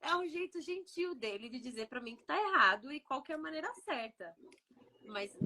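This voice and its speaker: A woman talks fairly quickly, her pitch rising and falling in very wide swings. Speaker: podcast co-host, immigrant mother. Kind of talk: casual chat.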